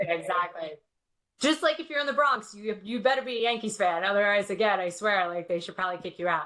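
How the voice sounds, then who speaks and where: Speaking very fast, a woman with a New York accent has a bright, sharp tone and lively intonation. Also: medium pitch for a woman. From New York City, Queens. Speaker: security industry guest. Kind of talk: casual chat. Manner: animated.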